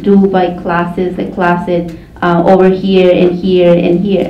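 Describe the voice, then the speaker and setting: Over noticeable background noise and audible room echo, a woman with a Mexican accent talks at a fairly slow pace in a fairly low pitch, her intonation monotone and flat. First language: Mazahua. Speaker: community organizer. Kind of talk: panel discussion. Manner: halting.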